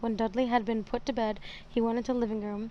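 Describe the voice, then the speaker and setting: A soft-spoken woman at a very fast pace and fairly high pitch. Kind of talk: audiobook reading.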